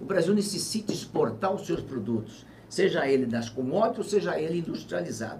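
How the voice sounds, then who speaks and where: Over audible room echo, a man speaks fairly quickly in a high voice with very wide pitch swings. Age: 70s. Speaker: former governor and politician. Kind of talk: interview on live web TV.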